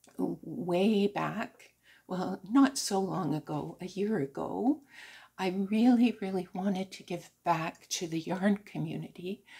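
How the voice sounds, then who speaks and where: A woman's dark, mellow tone at medium pitch, very slow, with vocal fry, ordinary pitch variation and big swings in loudness. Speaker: crochet and knitting vlogger. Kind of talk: casual chat.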